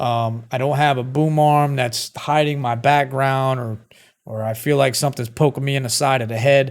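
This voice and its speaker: Intonation is monotone and flat, with a Brooklyn accent. The recording is very clean, with a silent background. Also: man, medium pitch for a man, moderate pace. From Brooklyn, New York. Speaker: streamer reviewing microphones. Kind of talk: casual product review to camera. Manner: conversational, filler-heavy.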